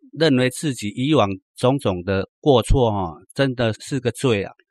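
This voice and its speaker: Very slowly and at a medium pitch, a man speaks with ordinary pitch variation in a dry, close recording with no echo. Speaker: former drug addict giving testimony. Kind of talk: testimony. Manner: halting, many fillers.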